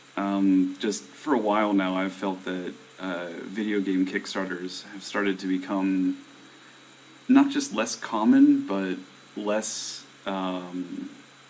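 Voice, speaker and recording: Over noticeable background noise, a man talks at a very slow pace in a fairly low pitch with monotone, flat intonation. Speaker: indie game developer streaming to viewers. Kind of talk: casual live stream chat. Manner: hesitant, many fillers.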